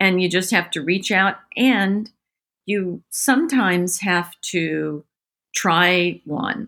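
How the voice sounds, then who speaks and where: A very clean recording with a silent background: an American accent, a woman at medium pitch, a bright, sharp tone, ordinary pitch variation, and a very slow pace. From grew up abroad in US military family. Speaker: holistic veterinarian. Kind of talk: interview.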